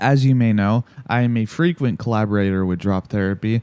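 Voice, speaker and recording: Sounding dry and close with no echo, a man with lively intonation talks at a moderate pace in an unremarkable speaking voice. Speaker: amateur music reviewer. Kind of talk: casual album review.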